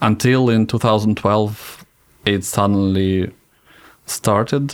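A man speaks with a Russian accent. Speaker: cosmonaut. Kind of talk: interview.

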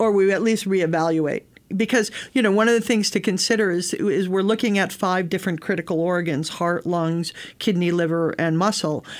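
In a very clean recording with a silent background, a woman with an American accent and a plain, everyday voice speaks at a fairly quick pace and medium pitch, with very even loudness and ordinary pitch variation. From US Northeast, Connecticut (Bridgeport). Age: 60s. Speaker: space agency program lead. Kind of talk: interview conversation.

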